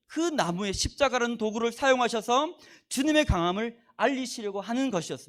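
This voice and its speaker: On a very clean recording with a silent background, a man speaks at an extremely high pitch with lively intonation. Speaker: guest preacher. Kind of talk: sermon. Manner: fast.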